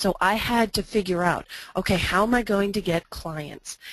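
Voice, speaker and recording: In a plain, everyday voice, a woman talks at a moderate pace with ordinary pitch variation against a quiet background. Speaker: branding consultant and presenter. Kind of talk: webinar presentation. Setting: online webinar.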